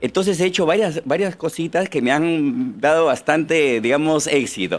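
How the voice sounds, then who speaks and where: A man with a plain, everyday voice keeps his loudness very even. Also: fairly high pitch for a man, lively intonation, moderate pace. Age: 60s. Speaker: political candidate and machine manufacturer. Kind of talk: interview.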